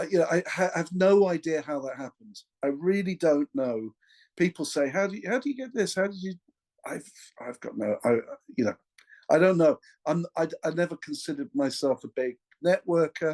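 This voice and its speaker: A man with an English accent talks fairly quickly in a high voice with very wide pitch swings and long, frequent pauses, the sound dry and close with no echo. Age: 60s. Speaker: session drummer. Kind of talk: casual interview. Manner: halting, many restarts.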